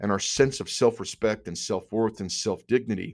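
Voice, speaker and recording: A man talks at a moderate pace in a fairly low pitch. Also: very clean recording, silent background. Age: 40s. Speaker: men's coaching podcast host. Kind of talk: motivational monologue. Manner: animated.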